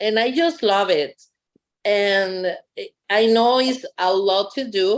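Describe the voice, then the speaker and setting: A woman speaks with a Costa Rican accent at a very slow pace. Her pitch shows ordinary variation. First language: Spanish. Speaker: bilingual parent educator. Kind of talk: public meeting remarks.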